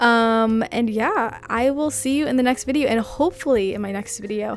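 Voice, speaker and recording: A woman speaks at a moderate pace with ordinary pitch variation. Noticeable background noise sits behind her. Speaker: freelance illustrator and vlogger. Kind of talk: casual vlog talk to camera. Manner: casual, filler-heavy (um, like).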